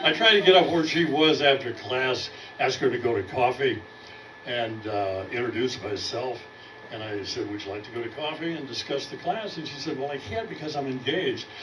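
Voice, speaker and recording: A man with an American accent speaks at a moderate pace in a fairly high pitch, his intonation lively, over noticeable background noise and audible room echo. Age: 80s+. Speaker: comedy student. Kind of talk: stand-up. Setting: stage with audience.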